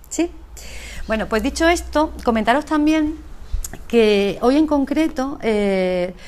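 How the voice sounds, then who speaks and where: Her voice high-pitched and lively in intonation, a woman speaks with long, frequent pauses. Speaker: speaker at a business conference, emotional intelligence trainer. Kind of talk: conference talk. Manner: fast.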